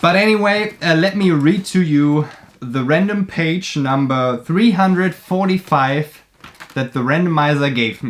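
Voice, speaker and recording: Over noticeable background noise, someone with a German accent speaks at a fairly slow pace. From Germany. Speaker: YouTuber, artist and book reviewer. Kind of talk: casual vlog talk while drawing.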